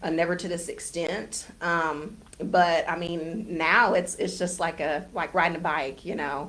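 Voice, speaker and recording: Fairly low-pitched, a woman with an American accent speaks at a fairly slow pace with fairly even intonation and hardly any pauses, in a room with audible echo. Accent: Southern US country accent, held back. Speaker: real estate agent and poultry farmer. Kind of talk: casual interview. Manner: conversational, hesitant fillers and repeats.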